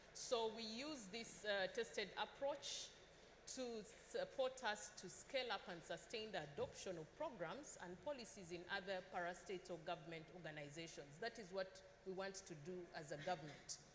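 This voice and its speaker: Noticeable background noise sits behind the speech. The pace is moderate and the intonation lively. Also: woman, medium pitch for a woman. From Uganda. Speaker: government official. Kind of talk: panel discussion.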